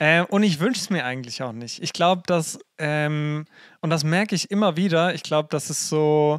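This man has a plain, everyday voice, fairly high in pitch with ordinary pitch variation, and speaks at a fairly quick pace. The recording is very clean with a silent background. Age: 20s. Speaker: youth worker and theologian. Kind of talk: casual chat.

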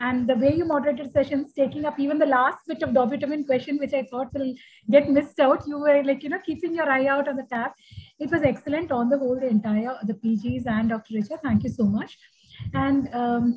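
The speech moves at a fairly quick pace with fairly even intonation. Light background noise is present. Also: woman, high pitch for a woman. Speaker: session host giving vote of thanks. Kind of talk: formal thanks in online medical session. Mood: warm, appreciative. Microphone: video call.

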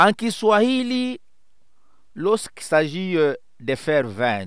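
A man at a very slow pace with very wide pitch swings, in a dry sound with no echo over a quiet background. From DR Congo. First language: Swahili (speaking French). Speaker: writer and pastor; poet explaining language. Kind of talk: educational monologue; lecture. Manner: hesitant with many fillers. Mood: warm, smiling, explanatory. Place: home room. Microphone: headset.

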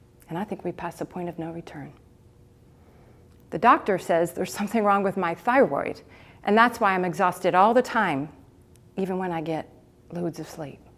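Pausing long and often, a woman with an American accent shows ordinary pitch variation and big swings in loudness. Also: fairly quick pace. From Texas. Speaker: motivational speaker and certified coach. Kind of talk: inspirational personal-story speech. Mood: warm, reflective, smiling. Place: stage. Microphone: lapel.

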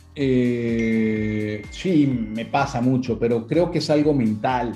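Faint music plays behind a man speaking at a very slow pace. His loudness stays very even, and his pitch varies in an ordinary way. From Venezuela. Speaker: voice actor. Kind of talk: interview answer. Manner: casual, conversational. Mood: relaxed, reflective. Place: home room. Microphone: video call.

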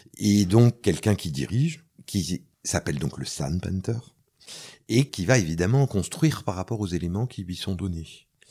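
On a very clean recording with a silent background, a man with a very deep, low pitch and a dark, mellow tone speaks at a fairly slow pace with lively intonation. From France. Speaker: soundpainting teacher and recorder player. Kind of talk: interview. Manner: hesitant, many fillers.

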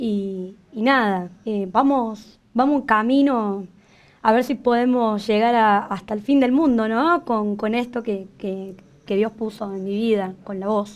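A woman speaks very slowly at a fairly high pitch, with ordinary pitch variation. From Córdoba, Argentina. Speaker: singer and singing teacher; singing teacher. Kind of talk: TV interview. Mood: warm, emotional, smiling. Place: studio.

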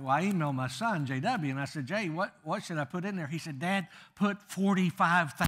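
A man's bright, sharp tone with lively intonation, a moderate pace and a quiet background. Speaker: guest preacher. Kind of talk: sermon. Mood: humorous, warm storytelling. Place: church.

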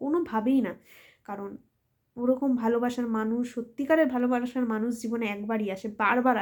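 A woman's fairly high voice shows ordinary pitch variation and big swings in loudness. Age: 20s. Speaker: content creator. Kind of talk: personal vlog monologue. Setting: at home late at night.

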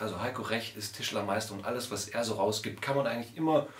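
The speech shows ordinary pitch variation, with audible room echo around it. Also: man. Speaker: woodcarving channel host. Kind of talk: casual vlog chat. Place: home room.

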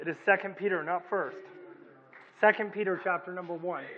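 A man talks at a fairly quick pace. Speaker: preacher. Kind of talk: sermon.

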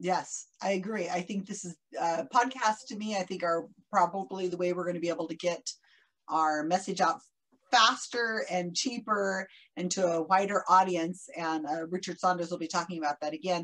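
A woman's unremarkable speaking voice, fairly low in pitch, with ordinary pitch variation, a moderate pace and a quiet background. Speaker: conference moderator. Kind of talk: casual introduction. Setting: video call. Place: home room. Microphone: video call.

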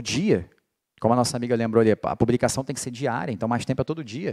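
A man talks in an animated tone. The background is quiet. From Rio de Janeiro, Brazil. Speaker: political marketing lecturer. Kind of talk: lecture. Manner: casual, animated. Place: hall. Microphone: handheld.

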